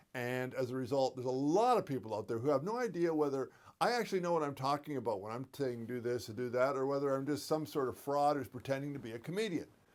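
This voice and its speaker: Talking very fast with hardly any pauses, a man with a fairly high pitch shows ordinary pitch variation. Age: 70s. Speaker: comedian. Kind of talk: stand-up; casual chat. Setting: stage with audience.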